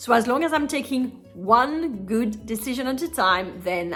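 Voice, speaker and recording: With music in the background, a woman speaks at a moderate pace, her pitch swinging very widely. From France. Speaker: nutritional therapist. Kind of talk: casual talk to camera.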